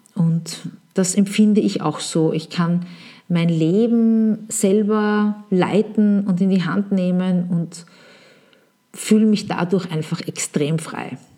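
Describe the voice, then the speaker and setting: In a very clean recording with a silent background, a woman speaks very slowly, somewhat breathy, with fairly even intonation. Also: medium pitch for a woman. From Vienna, Austria. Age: 40s. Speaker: podcast host, marketing consultant. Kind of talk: solo podcast monologue.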